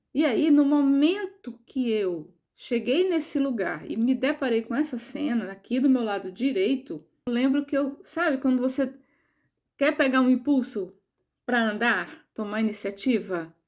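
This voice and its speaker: A high-pitched woman's voice with lively intonation at a fairly slow pace, in a very clean recording with a silent background. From Brazil, João Pessoa (Northeast). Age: 60s. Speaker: near-death experiencer sharing personal story. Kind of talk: personal testimony.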